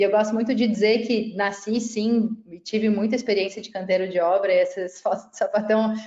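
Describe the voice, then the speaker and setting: A woman speaks with a Florianópolis accent at a moderate pace. Her intonation is monotone and flat. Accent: Florianópolis (Santa Catarina). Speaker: civil engineer and tech startup CEO. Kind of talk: webinar panel presentation.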